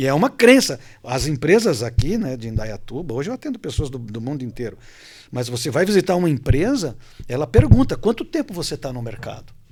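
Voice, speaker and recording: A man talks at a fairly quick pace in a fairly high pitch, with very wide pitch swings and big swings in loudness. The recording is very clean, with a silent background. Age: 60s. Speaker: coach and hypnotherapist. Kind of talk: panel discussion.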